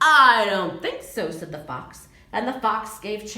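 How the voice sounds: A natural reading voice carries the text.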